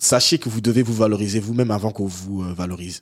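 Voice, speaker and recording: Recorded very cleanly against a silent background, a man speaks at a fairly low pitch with ordinary pitch variation, the sound dry and close with no echo. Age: young. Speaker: podcast guest. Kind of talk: casual chat.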